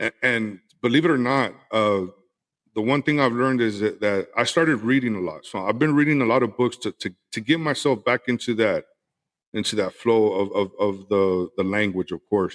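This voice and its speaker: The audio is dry and close, with no echo. A man with an American accent talks at a moderate pace in a medium pitch, with ordinary pitch variation. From West Texas. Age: 40s. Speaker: podcaster, cigar and whiskey creator. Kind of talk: casual interview chat. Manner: halting, many repeated words.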